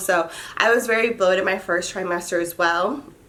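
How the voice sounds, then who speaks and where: Medium in pitch with typical variation, a woman's ordinary speaking voice moves along at a moderate pace. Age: 30s. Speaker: lifestyle vlogger and mother. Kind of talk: casual vlog monologue. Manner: chatty, informal with fillers.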